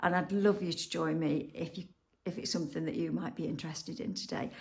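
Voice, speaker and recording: Here a woman speaks with a fairly low pitch. Vocal fry runs through her voice. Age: 60s. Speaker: lifestyle vlogger, retiree. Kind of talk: casual vlog chat to camera. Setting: outdoors in a busy city street. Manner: chatty, with frequent fillers.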